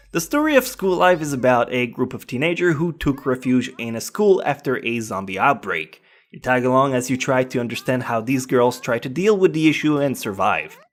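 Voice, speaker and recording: A man's medium-pitched voice in a French Canadian accent, fairly quick with hardly any pauses and lively intonation, in a very clean recording with a silent background. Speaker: anime reviewer. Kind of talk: casual countdown review voiceover.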